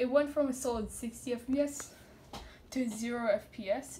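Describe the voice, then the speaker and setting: Over light background noise, a woman mumbles at a fairly slow pace in a high pitch with fairly even intonation. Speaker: gamer showing a glitch. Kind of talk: casual gameplay commentary. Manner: mumbling. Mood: puzzled, mildly alarmed. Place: home room. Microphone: phone near.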